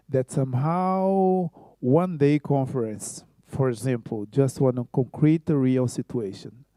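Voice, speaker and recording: A man with a Brazilian Portuguese accent, medium pitch and a dark, mellow tone, at a very slow pace with lively intonation, dry and close with no echo. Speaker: choreographer. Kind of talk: conference talk. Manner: halting.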